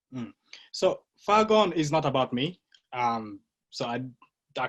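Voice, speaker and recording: A man talks at a fairly slow pace in a fairly high voice. His pitch swings very widely. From Uganda. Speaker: actor and writer. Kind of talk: podcast interview.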